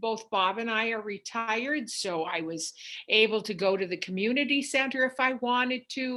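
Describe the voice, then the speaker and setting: Her tone is bright and sharp, at a fairly high pitch. The woman speaks at a moderate pace with ordinary pitch variation. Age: 70s. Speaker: retired cancer patient. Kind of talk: oral history interview.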